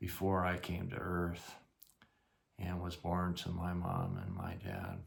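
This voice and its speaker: At a very slow pace, a man speaks in a very deep, low pitch that is somewhat breathy. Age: 60s. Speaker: family storyteller. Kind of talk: casual storytelling. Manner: halting.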